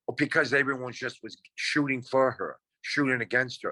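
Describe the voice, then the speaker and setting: A man speaks at a medium pitch. The recording is very clean with a silent background, and the sound is dry and close with no echo. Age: 60s. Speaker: reality TV contestant. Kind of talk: casual interview chat.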